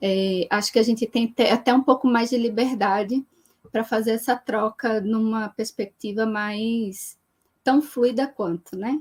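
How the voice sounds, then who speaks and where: Recorded with a dry, close sound and no echo, a woman speaks somewhat breathily at a fairly high pitch with fairly even intonation. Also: fairly slow pace. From Brazil, Recife (Pernambuco). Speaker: geographer, researcher on urban social movements. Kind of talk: live-stream interview / talk. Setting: online live stream.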